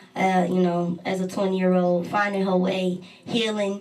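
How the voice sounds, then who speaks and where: Over noticeable background noise and audible room echo, a woman speaks at a moderate pace and medium pitch with monotone, flat intonation. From Texas. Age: 20s. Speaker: poet and rapper. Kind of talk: interview.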